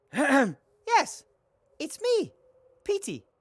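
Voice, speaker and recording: A put-on character voice with a high pitch. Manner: funny put-on voice.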